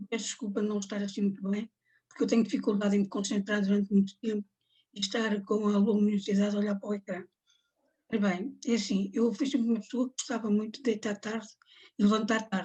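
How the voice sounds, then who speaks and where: A woman speaks at a very fast pace with fairly even intonation. Her tone is dark and mellow, and somewhat breathy. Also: medium pitch for a woman. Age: 70s. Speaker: Parkinson's patient. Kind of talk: testimony. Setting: video call.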